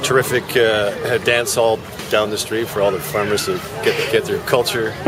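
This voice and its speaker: A man with a Canadian accent speaks at a moderate pace over noticeable background noise, with audible room echo. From Ontario, Canada (Burlington). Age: 60s. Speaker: farmer. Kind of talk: interview. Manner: halting, many fillers.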